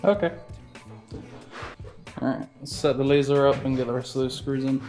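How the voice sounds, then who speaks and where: A man speaks at a moderate pace with a fairly high pitch. Music plays in the background. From England. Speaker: boat builder. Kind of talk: casual talk to camera.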